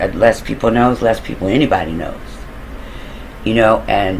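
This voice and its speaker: Fairly quick speech from a man with an American accent, noticeable background noise behind him. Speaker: storyteller recounting own crime plans. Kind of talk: casual monologue storytelling. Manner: mumbling at times.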